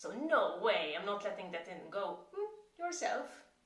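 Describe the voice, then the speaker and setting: A woman talks at a fairly slow pace with lively intonation. The recording has audible room echo and noticeable background noise. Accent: Maltese. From Malta. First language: Maltese. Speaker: chronic pain coach. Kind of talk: tutorial.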